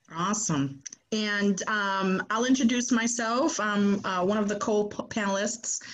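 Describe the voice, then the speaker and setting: A woman with a somewhat breathy, medium-pitched voice talks at a fairly slow pace with ordinary pitch variation. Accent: American. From Boston, Massachusetts. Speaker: podcast co-host, career services staff. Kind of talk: panel introduction.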